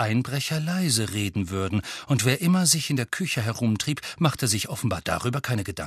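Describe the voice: The speaker is plainly reading aloud, with lively intonation.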